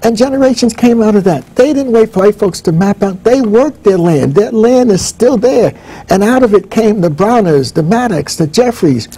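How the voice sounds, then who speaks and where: Hardly pausing, a man with an American accent speaks at a moderate pace in a dark, mellow tone, his pitch high and his intonation lively, with very even loudness. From northern New Jersey, US. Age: 70s. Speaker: professor. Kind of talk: interview.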